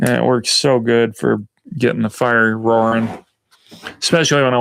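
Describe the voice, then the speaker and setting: This man speaks in an American accent at a moderate pace. His pitch is medium and his intonation fairly even. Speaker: outdoor lifestyle vlogger. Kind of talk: casual live stream chat. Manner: hesitant, many fillers.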